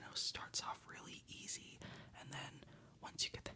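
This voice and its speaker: Whispering at a fairly slow pace, a man speaks. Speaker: ASMR creator. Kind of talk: casual ASMR ramble to camera. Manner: whispered.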